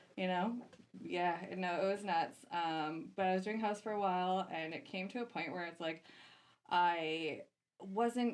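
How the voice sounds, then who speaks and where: Someone speaks at a moderate pace with a Canadian accent. It is an unremarkable speaking voice. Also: woman. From Canada. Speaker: DJ and music producer. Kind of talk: casual podcast interview.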